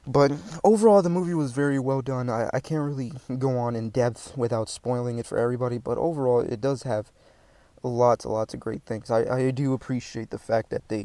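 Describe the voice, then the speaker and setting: This man has a dark, mellow tone at medium pitch, moving at a fairly quick pace with ordinary pitch variation. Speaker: movie reviewer / vlogger. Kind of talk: casual movie review talk.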